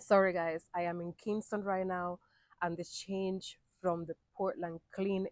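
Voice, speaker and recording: A woman in a Spanish accent, monotone and flat, at a fairly slow pace. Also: dry, close sound with no echo. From Cuba. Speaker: vlogger. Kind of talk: casual vlog talk to camera. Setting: outdoors in backyard.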